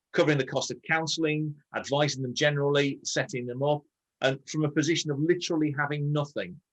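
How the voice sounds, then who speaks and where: At a very fast pace, a man with an English accent speaks at a fairly high pitch. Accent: received pronunciation. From northern England, Scarborough. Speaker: barrister and show co-host. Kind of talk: casual chat. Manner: clipped.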